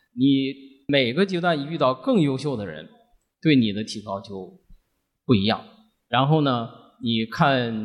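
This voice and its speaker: At a moderate pace, a man speaks with lively intonation over a quiet background. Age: 50s. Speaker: company finance director and podcast listener. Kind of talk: personal sharing at live event.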